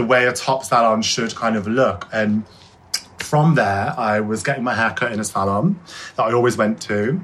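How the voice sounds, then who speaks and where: A man with an English Midlands accent speaks at a medium pitch over noticeable background noise. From Shropshire, England. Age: 20s. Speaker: hairdresser. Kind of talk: interview. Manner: fast.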